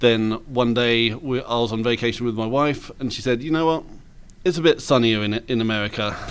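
Speaking fairly quickly at medium pitch, a man with an English accent shows ordinary pitch variation. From England. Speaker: roofing business owner. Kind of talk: interview.

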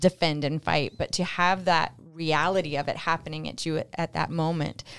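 This woman has an ordinary speaking voice, fairly low in pitch. She moves at a moderate pace with ordinary pitch variation. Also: very clean recording, silent background. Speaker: radio host. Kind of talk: interview. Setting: studio.

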